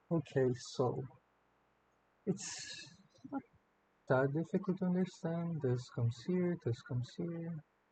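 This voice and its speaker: With a non-native accent, a man speaks at a fairly slow pace with long, frequent pauses, his high-pitched voice dark and mellow in tone and lively in intonation. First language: not English. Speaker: artist drawing tutorial. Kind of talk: drawing commentary. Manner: hesitant, many fillers. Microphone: slightly far away mic, no post production.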